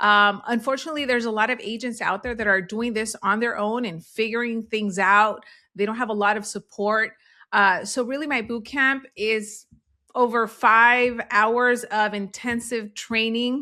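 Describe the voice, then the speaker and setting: A woman's bright, sharp tone, fairly high in pitch, with fairly even intonation, in a very clean recording with a silent background. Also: moderate pace. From US, child of Central American immigrants. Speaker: real estate agent and coach. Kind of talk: interview.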